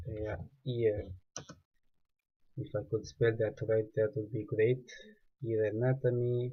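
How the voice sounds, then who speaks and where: In a non-native accent, a man speaks very slowly at medium pitch with fairly even intonation and long, frequent pauses. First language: not English. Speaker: 3D artist. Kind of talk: tutorial. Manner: halting.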